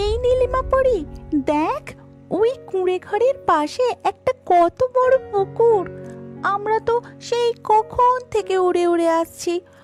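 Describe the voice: A cartoonish character voice, female-sounding and extremely high-pitched, speaks at a fairly slow pace. Clear music plays in the background.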